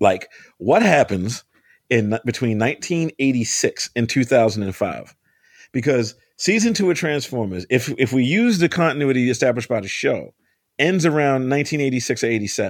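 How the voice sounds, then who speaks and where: A man with an American accent speaks at a medium pitch and moderate pace, in an ordinary speaking voice. His intonation is lively, and the recording is very clean with a silent background. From US, Baltimore. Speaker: comic book and TV writer. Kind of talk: casual interview.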